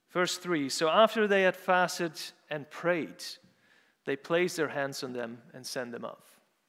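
A man in a Dutch accent with a high pitch, a bright, sharp tone, ordinary pitch variation and a fairly slow pace. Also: long, frequent pauses. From Netherlands, Urk. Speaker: preacher. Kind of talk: sermon. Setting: church.

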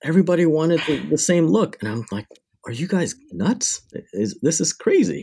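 In a very clean recording with a silent background, a man with a fairly high, dark and mellow voice speaks at a moderate pace with vocal fry and very wide pitch swings. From Canada, Windsor, Ontario. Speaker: cinematographer and lens company founder. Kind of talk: interview.

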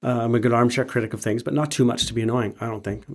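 This is a man speaking. He has a Western Canadian accent. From Canada, Alberta (Calgary). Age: 50s. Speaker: muralist and public artist. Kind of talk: casual chat. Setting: studio.

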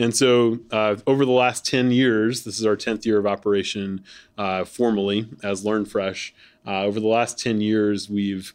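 The delivery is monotone with flat intonation, moving at a moderate pace. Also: man. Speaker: podcast host and nonprofit executive. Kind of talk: conversational panel interview. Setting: live recording at a conference. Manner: frequent filler words.

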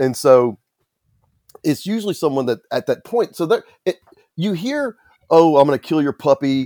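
Pausing often and at length, a man with a fairly high, dark and mellow voice uses lively intonation, recorded dry and close with no echo. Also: moderate pace. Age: 50s. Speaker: author and violence prevention advocate. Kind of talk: interview.

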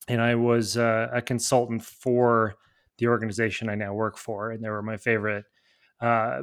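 On a very clean recording with a silent background, a man with an American accent speaks in an unremarkable speaking voice at a medium pitch and moderate pace. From Nebraska. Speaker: civil engineer and author. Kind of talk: casual interview.

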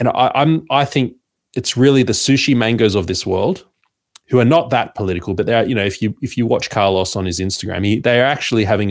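Talking at a fairly quick pace in an Australian accent, a man of medium pitch shows ordinary pitch variation. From Sydney, Australia. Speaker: media founder and podcaster. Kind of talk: casual interview chat.

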